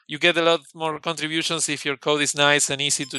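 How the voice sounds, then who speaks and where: A man talks at a very fast pace with a Spanish accent, his pitch fairly high and his tone bright and sharp. The sound is dry and close, with no echo. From Argentina. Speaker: software engineer. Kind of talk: interview.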